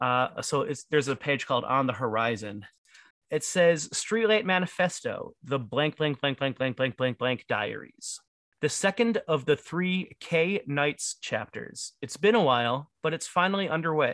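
An unremarkable speaking voice with an American accent is heard on a very clean recording with a silent background and a dry, close sound with no echo. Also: man, fairly high pitch for a man, lively intonation. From Detroit. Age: 30s. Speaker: podcast co-host. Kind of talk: casual chat.

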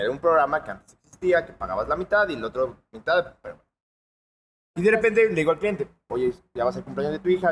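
A man with a high pitch, lively intonation, big swings in loudness, and a very fast pace. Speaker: car salesman. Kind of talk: casual chat.

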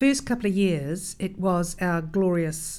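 With a New Zealand accent, a woman speaks at a moderate pace with a fairly low pitch and ordinary pitch variation, with audible room echo. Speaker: cycling advocacy leader. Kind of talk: interview.

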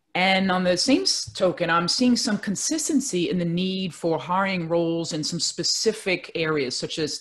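A woman with a New York accent talks at a moderate pace and a fairly low pitch. Her pitch varies in an ordinary way against a quiet background. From Brooklyn, New York. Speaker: career coach. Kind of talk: interview.

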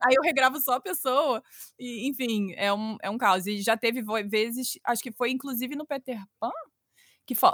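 This woman's high-pitched voice is captured with a dry, close sound and no echo. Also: ordinary pitch variation, moderate pace, very clean recording, silent background. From Brazil, Rio de Janeiro. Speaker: children's storytelling podcaster. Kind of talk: casual interview chat.

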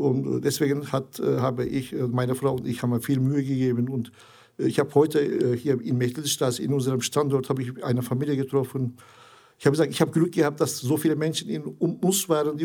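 Delivered at a moderate pace, the speech carries a dark, mellow tone and fairly even intonation. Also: man. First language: Turkish (speaking German). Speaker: integration charity founder. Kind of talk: interview. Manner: halting, many hesitations.

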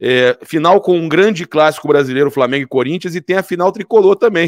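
Here is a man with an unremarkable speaking voice, ordinary pitch variation and a fairly quick pace. The recording is very clean, with a silent background and a dry, close sound with no echo. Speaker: sports commentator. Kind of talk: sports debate.

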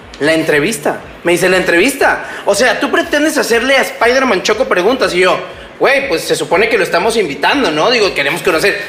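With a raised, projected voice pitched high, a man speaks at a fairly quick pace, his pitch swinging very widely while his loudness stays very even, amid audible room echo and noticeable background noise. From Mexico, Tabasco. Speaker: podcast host. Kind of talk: casual chat.

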